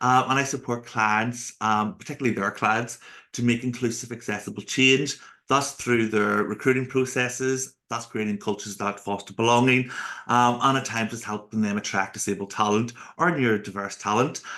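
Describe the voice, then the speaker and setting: With a Northern Irish accent, the voice has a bright, sharp tone over a quiet background. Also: man, medium pitch for a man, moderate pace. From Northern Ireland. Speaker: accessibility speaker and consultant. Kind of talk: podcast interview. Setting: home office, video call. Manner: talkative.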